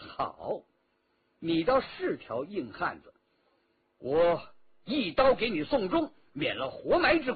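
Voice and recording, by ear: Putting on a character voice, a man talks at a slow pace with a high pitch, big pitch swings, vocal fry, and a husky, rough edge.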